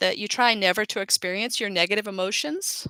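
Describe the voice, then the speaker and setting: A woman speaks loudly at a medium pitch, in a bright, sharp tone. The sound is dry and close, with no echo. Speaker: life coach. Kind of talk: live webinar talk. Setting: live online broadcast.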